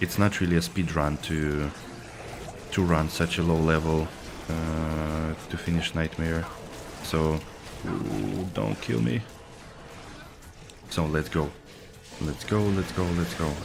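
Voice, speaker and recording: Very deep and low, a man's voice comes at a very slow pace with long, frequent pauses. There is ordinary pitch variation and noticeable background noise. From Russia. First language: Russian. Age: 30s. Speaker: video game streamer. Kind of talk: casual chat. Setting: live stream.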